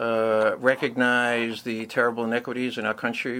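The speaker has a New York accent. The tone is bright and sharp. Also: man. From New York City, Brooklyn. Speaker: mayoral candidate. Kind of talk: interview.

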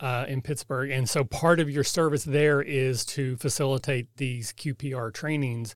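A man with a Kentucky accent speaks at a fairly high pitch with ordinary pitch variation, on a very clean recording with a silent background. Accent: Kentucky, US South. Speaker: podcast host, AmeriCorps member. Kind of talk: interview.

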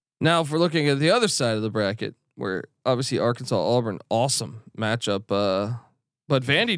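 A man with an ordinary speaking voice talks fairly quickly at a medium pitch with lively intonation, the sound dry and close with no echo in a very clean recording with a silent background. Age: 40s. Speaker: sports betting analyst. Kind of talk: casual chat.

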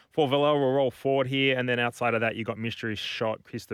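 The recording is very clean, with a silent background. His intonation, a man's, remains fairly even. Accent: Australian. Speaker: racing tipster, horse part-owner. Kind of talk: racing preview chat, tipping horses. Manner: casual, conversational, laid-back.

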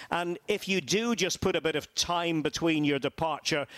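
Moderate pace and ordinary pitch variation in a Scottish accent, with a dry, close sound and no echo. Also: man. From Scotland, Aberdeen. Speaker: football commentator. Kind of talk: casual chat.

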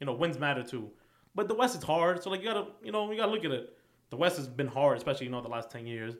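In a New York accent, a man talks at a very fast pace with a fairly high pitch. His pitch swings very widely. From New York, Queens. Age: 20s. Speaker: sports fan guest. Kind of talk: casual chat.

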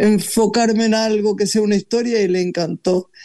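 A man talks in a high pitch with a dark, mellow tone. His pace is moderate and his intonation monotone and flat. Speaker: talk show host. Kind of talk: guest introduction; casual chat.

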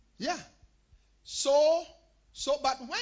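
The tone is animated, and noticeable background noise can be heard. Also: man. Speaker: pastor. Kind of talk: sermon. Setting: church.

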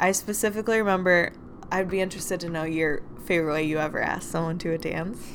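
Amid noticeable background noise, a woman with a fairly low pitch speaks at a very fast pace. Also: fairly even intonation. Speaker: podcast host. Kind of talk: casual chat.

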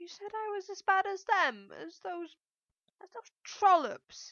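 In a put-on character voice, a woman speaks at a fairly slow pace with an extremely high pitch and a hissing sound. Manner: hissing, resentful.

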